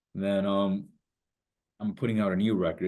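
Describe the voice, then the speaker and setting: A man with a very deep, low pitch. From US, Indian-American. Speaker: hip-hop artist. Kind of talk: interview. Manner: animated.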